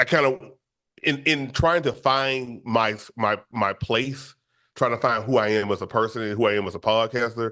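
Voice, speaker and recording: Against a quiet background, a man with a bright, sharp tone and medium pitch speaks at a fairly slow pace, with ordinary pitch variation and long, frequent pauses. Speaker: podcast host. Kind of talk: interview. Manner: halting, many repetitions.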